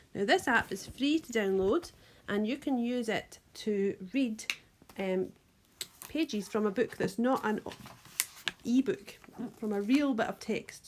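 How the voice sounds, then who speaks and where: With a Scottish accent and a fairly high pitch, a woman talks at a moderate pace. She takes long, frequent pauses over noticeable background noise. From Scotland. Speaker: primary school teacher. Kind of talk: tutorial.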